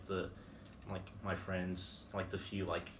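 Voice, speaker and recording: A fairly slow delivery with audible room echo. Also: man. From Van Horn, West Texas. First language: Spanish. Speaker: college student. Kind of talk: interview. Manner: hesitant, many fillers.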